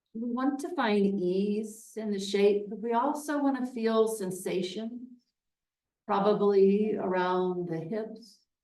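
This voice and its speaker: A soothing woman's voice, dark and mellow at a medium pitch, with ordinary pitch variation, a very slow pace and audible room echo. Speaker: yoga teacher. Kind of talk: guided yin yoga class. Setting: yoga studio, livestreamed. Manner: slow, soothing.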